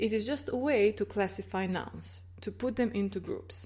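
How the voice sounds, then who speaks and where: A woman with a Croatian accent at a moderate pace, in a very clean recording with a silent background. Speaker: language teacher. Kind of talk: tutorial. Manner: clear, explanatory.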